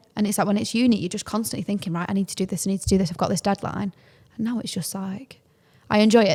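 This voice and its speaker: A woman speaks at a very fast pace in a somewhat breathy voice, recorded very cleanly against a silent background. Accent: Mancunian. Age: 20s. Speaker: podcast co-host. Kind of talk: casual chat. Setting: in person.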